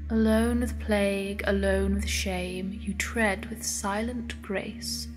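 Music plays in the background while a woman speaks at a very slow pace. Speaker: narrator. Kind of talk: creepypasta poem narration.

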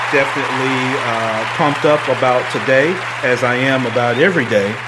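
A man is speaking. Crowd noise can be heard in the background. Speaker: podcast host. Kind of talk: casual podcast chat greeting live viewers. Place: home room.

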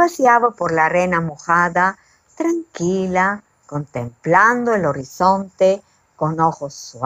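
This is plain reading aloud, heard over a quiet background.

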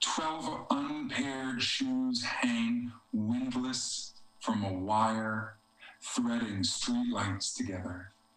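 Recorded with audible room echo, a man with an American accent talks at a very slow pace and ordinary pitch variation. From US East Coast. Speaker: poet. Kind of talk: poetry reading, read aloud to a virtual audience. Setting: video call from home. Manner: measured, reflective, slow, lyrical poetry delivery; slightly hesitant and conversational between poems. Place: home room. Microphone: video call.

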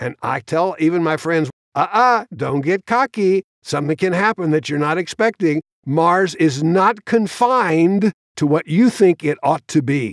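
A man with an American accent speaks at a high pitch. His intonation is lively, and the sound is dry and close with no echo. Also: moderate pace. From US, Queens, New York City. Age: 80s+. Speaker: space engineer and science fiction author. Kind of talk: interview storytelling.

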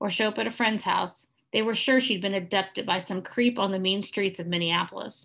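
Over a quiet background, the pitch in this plain reading aloud varies in an ordinary way.

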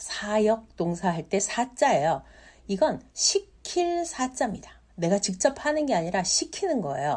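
In a very clean recording with a silent background, a woman speaks at a fairly slow pace in a somewhat breathy voice with very wide pitch swings. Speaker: Chinese language teacher. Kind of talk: tutorial. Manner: repeats words slowly for learners.

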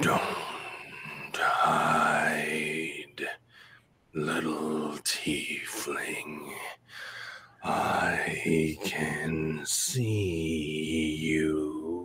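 A man uses a put-on character voice, raspy and very deep and low in pitch. He speaks at a very slow pace with long, frequent pauses. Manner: menacing.

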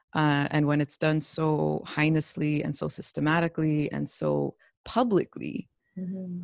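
A woman's very deep, low voice with a Canadian accent, ordinary pitch variation and a moderate pace, dry with no echo over a quiet background. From London, Ontario, Canada; Ontario. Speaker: campus radio interviewer. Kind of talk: interview. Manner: halting. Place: home room. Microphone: video call.

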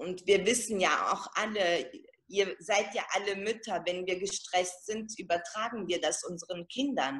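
Fairly slow pace from a woman with a medium pitch. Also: ordinary pitch variation. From Italian-German background. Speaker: network marketing seller. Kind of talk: testimony. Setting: video call. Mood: emotional, moved. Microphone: video call.

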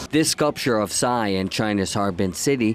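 A man talks at a fairly slow pace with lively intonation. Noticeable background noise sits behind him. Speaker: news reporter. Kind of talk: formal newsreading, scripted feature report voiceover.

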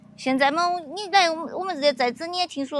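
Dry sound with no echo carries a woman talking at a fairly quick pace. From Yunnan border region, China. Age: 40s. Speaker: villager. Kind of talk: casual chat. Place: open country.

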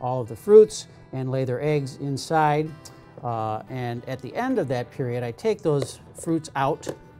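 Faint music plays in the background as a man talks at a fairly slow pace with ordinary pitch variation. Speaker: entomology professor. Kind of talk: tutorial. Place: workshop.

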